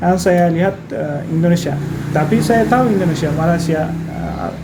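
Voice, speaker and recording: A man with a fairly high pitch speaks at a moderate pace with ordinary pitch variation, over noticeable background noise and audible room echo. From Turkey. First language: Turkish (speaking Indonesian). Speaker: translator and teacher. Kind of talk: podcast interview. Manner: halting.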